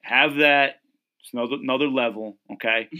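His intonation remains fairly even. The man talks with an American accent. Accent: Connecticut, slight New York-like. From Connecticut. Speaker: podcast host. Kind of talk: casual banter chat about football.

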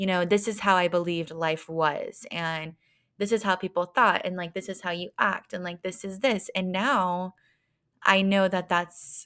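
Very clean recording, silent background, with a woman speaking fairly slowly. Hers is an unremarkable speaking voice at medium pitch with fairly even intonation. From small-town Texas. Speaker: podcast host. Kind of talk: casual solo talk.

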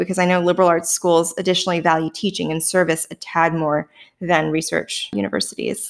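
A woman at a fairly quick pace and fairly low pitch, with a slight Canadian accent. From Canada. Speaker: podcast host, former data scientist. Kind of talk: casual interview.

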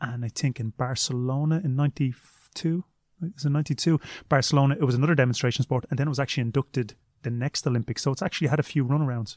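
A man with a Dublin accent at a fairly high pitch, talking at a very fast pace with ordinary pitch variation, in a dry, close sound with no echo. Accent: Irish (Dublin). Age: 30s. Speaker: martial arts coach and former kickboxing champion. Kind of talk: interview.

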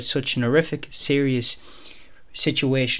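A man with an Irish accent speaks at a moderate pace in a fairly high pitch. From Ireland, County Clare. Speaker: podcast host. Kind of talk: casual interview. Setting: home kitchen used as studio.

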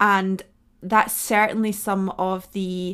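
This is a woman with a medium pitch. Her intonation is monotone and flat. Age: 30s. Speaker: podcast host and nutritionist. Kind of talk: solo podcast monologue.

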